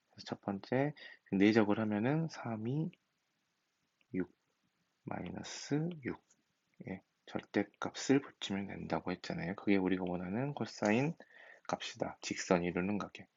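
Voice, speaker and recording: Mumbling at a fairly slow pace with long, frequent pauses, a man speaks in a fairly low pitch with lively intonation. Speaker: high school math teacher. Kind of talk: recorded lecture. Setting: recorded at home at night.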